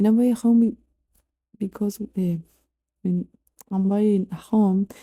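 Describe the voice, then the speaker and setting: Somewhat breathy and dark, mellow in tone, a voice with a non-native accent moves at a fairly slow pace with fairly even intonation in a very clean recording with a silent background. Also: woman. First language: not English. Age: 20s. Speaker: YouTuber. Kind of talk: personal vlog monologue. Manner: halting.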